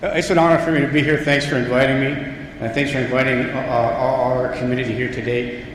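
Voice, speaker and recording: Over noticeable background noise and audible room echo, a man talks at a very fast pace with a medium pitch. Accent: American. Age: 70s. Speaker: local official speaking at school opening. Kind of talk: ceremonial speech. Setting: school ceremony with audience. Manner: animated.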